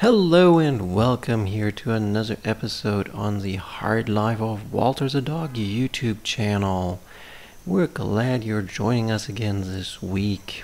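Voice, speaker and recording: Speaking fairly slowly, a man uses an ordinary speaking voice pitched fairly low, with ordinary variation in pitch. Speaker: channel host. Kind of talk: scripted channel intro narration.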